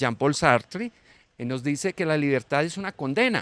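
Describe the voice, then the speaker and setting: A man speaks with lively intonation in a very clean recording, dry and close with no echo and a silent background. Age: 60s. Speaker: teacher, panel guest. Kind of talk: panel discussion. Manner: halting, with fillers.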